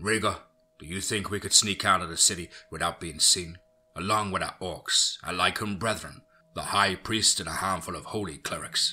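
A man puts on a character voice that sits low in pitch, with a bright, sharp tone and a slightly husky edge. He moves at a moderate pace with ordinary pitch variation.

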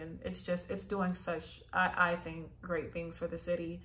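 Speaking with an American accent, a woman has a fairly low pitch. Her intonation is monotone and flat, at a moderate pace. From Los Angeles. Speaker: YouTuber sharing property buying experience. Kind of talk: casual vlog tutorial. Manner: casual, many fillers. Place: home room. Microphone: phone near.

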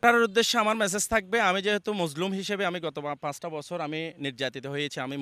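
On a very clean recording with a silent background, a man speaks in a bright, sharp tone with ordinary pitch variation and a dry, close sound with no echo. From Bangladesh, Banshkhali, Chittagong. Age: 30s. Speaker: local election candidate. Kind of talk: campaign interview.

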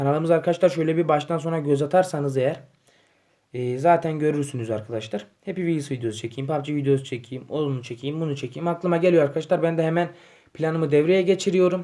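A man with a fairly high pitch and a dark, mellow tone speaks at a fairly quick pace with ordinary pitch variation. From Turkey, Yozgat. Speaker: gaming YouTuber. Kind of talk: casual vlog to camera. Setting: home living room. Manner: hesitant, many fillers.

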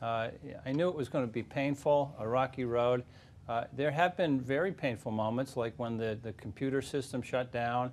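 With ordinary pitch variation, the speech holds a moderate pace. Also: man. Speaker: candidate. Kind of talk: debate answer. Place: studio. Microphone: lapel.

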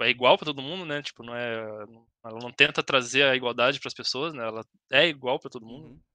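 Against a quiet background and a dry sound with no echo, a man speaks very fast at a medium pitch with a bright, sharp tone, ordinary pitch variation and big swings in loudness. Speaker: podcast guest, host's school friend. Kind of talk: casual chat. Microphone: headset.

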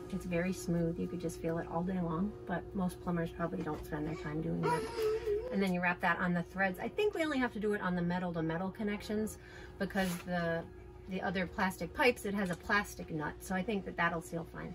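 A woman talks at a fairly quick pace. Noticeable background noise is present. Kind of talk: casual tutorial chat. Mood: light, joking. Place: home room. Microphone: phone near.

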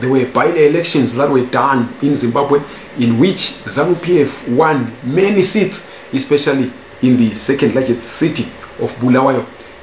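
Moderate pace and ordinary pitch variation, with audible room echo and light background noise. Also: man. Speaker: news commentator. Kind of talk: commentary. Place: home room.

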